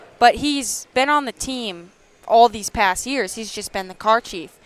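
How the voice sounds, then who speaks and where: With a North Dakota accent, this voice moves at a fairly slow pace with ordinary pitch variation. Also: woman. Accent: North Dakota accent, strong O vowels. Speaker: race car driver. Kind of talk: casual chat. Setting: live stream at a car show.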